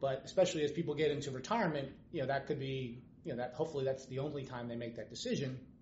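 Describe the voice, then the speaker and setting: Speaking at a very fast pace, a man uses a fairly high pitch with ordinary variation, and audible room echo surrounds him. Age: 50s. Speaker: financial planner. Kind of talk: casual interview. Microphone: background noise, laptop without noise canceling mic.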